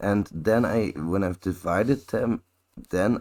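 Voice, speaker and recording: A man talks with lively intonation. His voice has vocal fry. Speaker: infosec content creator. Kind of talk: live audio chat. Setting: online audio space.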